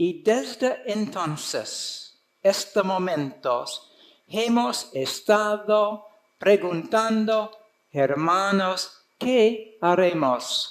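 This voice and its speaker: A man with an American accent speaks at a very slow pace in a high voice with lively intonation, and room echo can be heard. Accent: foreign (American) accent in Spanish. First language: English (speaking Spanish). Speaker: conference speaker, preacher. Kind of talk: sermon. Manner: halting.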